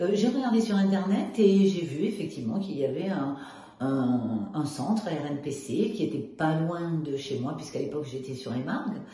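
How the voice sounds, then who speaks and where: The voice makes very wide pitch swings. Noticeable background noise and audible room echo are present. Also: woman, very deep, low pitch for a woman, moderate pace. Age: 70s. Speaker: weight-loss program client. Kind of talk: testimony. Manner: hesitant, many fillers.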